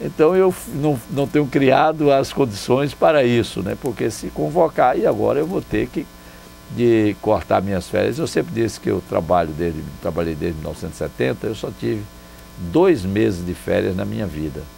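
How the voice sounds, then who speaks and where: Music sits behind the voice of a man. His speech moves at a middling speed. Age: 60s. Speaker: former mayor. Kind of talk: interview. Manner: relaxed conversational.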